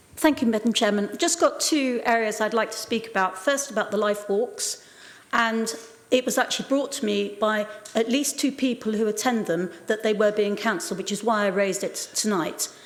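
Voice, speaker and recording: Noticeable background noise accompanies a woman with a fairly high pitch. She moves at a fairly quick pace with ordinary pitch variation. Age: 70s. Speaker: local councillor. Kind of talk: council debate speech.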